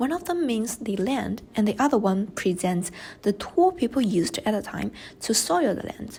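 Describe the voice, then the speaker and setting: Speaking in a Chinese accent, a woman uses a fairly high pitch. She talks at a moderate pace in a somewhat breathy voice. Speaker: student. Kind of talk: class presentation.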